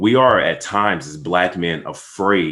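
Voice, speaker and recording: This is a man speaking with an American accent. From United States. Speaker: podcast co-host, father. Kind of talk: casual podcast discussion on a call. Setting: group call.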